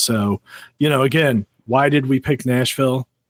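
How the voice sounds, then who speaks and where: Here a man speaks with a St. Louis accent. His intonation is fairly even and his pace moderate. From St. Louis, Missouri, US Midwest. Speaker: security conference organizer. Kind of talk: podcast interview. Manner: casual, with many fillers.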